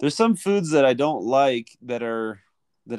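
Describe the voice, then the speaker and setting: A medium-pitched man with an American accent, speaking at a moderate pace. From US, Philadelphia suburbs. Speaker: English teacher. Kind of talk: casual interview chat.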